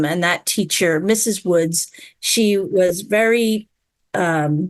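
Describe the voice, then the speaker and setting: In an American accent, a woman speaks at a very slow pace. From Long Island, New York. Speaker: business executive. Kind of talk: interview. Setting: video call.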